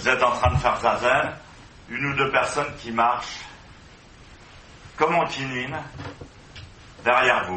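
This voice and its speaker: A medium-pitched man's voice with ordinary pitch variation at a fairly slow pace, with long, frequent pauses, noticeable background noise, and audible room echo. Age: 60s. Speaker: zen master. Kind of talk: dharma talk. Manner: halting.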